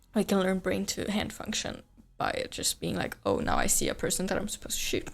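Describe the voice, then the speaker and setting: With a Swedish accent, a woman speaks at a moderate pace. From Sweden. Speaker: streamer. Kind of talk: casual chat. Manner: halting.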